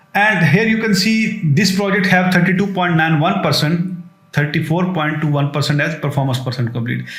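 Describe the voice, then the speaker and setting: A man with a high pitch and ordinary pitch variation talks amid noticeable background noise and audible room echo. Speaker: software tutorial creator. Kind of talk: tutorial. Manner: fast.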